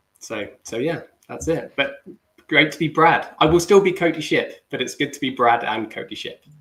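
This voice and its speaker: A man speaks at a moderate pace with a British accent. His loudness swings widely. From UK. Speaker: business development manager. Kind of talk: livestream panel chat.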